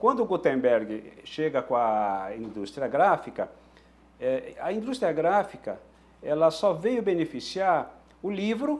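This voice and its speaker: Very slow, high male speech with very wide pitch swings. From southern Brazil (Rio Grande do Sul, Passo Fundo). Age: 60s. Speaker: typewriter mechanic and collector. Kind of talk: interview monologue about his craft and history. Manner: halting, many restarts and fillers.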